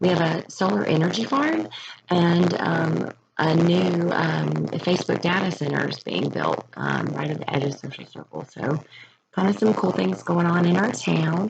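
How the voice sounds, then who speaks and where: A quiet woman's voice at a moderate pace. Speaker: middle school teacher. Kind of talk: presentation. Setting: at home, recording in her room. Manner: hesitant, many fillers.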